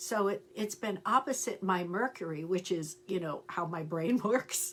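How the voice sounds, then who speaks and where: At a fairly slow pace, a woman with a medium pitch speaks over noticeable background noise. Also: ordinary pitch variation. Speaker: astrologer and tarot reader. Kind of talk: casual livestream chat. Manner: animated.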